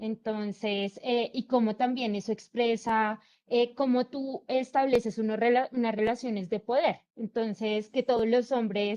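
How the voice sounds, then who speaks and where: Over a quiet background, a woman with a fairly high pitch and a dark, mellow tone speaks at a fairly slow pace with fairly even intonation and hardly any pauses, the sound dry and close with no echo. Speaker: student. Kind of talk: class discussion.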